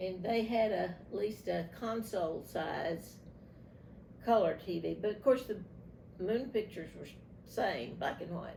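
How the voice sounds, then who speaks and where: With an American accent, a woman speaks fairly slowly at a medium pitch in a dark, mellow tone with vocal fry, ordinary pitch variation and long, frequent pauses, and room echo is audible. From East Texas. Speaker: grandmother interviewed for family archive. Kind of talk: oral history interview.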